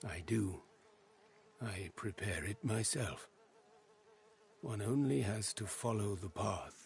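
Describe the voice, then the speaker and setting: A man speaks in a put-on character voice with a fairly low pitch, at a fairly slow pace broken by long, frequent pauses. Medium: video game. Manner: formal, halting speech with odd present-tense phrasing.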